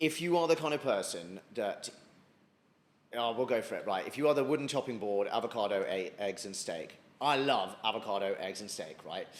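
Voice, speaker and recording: This man sounds animated. He talks at a moderate pace. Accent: British. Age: 30s. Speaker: former army officer and fitness influencer. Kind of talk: podcast interview. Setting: restaurant.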